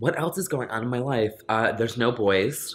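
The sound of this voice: The tone is bright and sharp, with ordinary pitch variation. The pace is moderate. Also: man.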